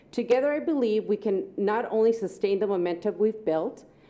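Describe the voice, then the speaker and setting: A woman's lively intonation at a fairly quick pace over noticeable background noise. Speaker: interim school superintendent. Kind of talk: prepared speech at board meeting. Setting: public board meeting with microphone. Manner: loud; formal.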